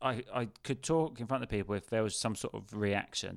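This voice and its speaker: A man's medium-pitched, ordinary speaking voice at a fairly quick pace. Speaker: comedian. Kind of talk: casual chat. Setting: video call.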